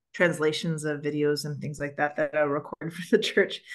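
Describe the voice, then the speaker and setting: In a quiet setting, a woman with a Canadian accent talks at a moderate pace in an unremarkable speaking voice, her fairly low pitch carrying fairly even intonation. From Canada. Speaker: church moderator, book club host. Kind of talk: webinar book discussion.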